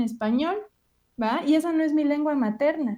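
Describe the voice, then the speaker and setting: A woman talks in a dark, mellow tone with ordinary pitch variation. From Mexico. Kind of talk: lecture.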